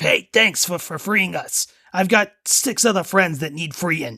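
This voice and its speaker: A man puts on a character voice, high-pitched and delivered at a fairly slow pace. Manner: tough-guy.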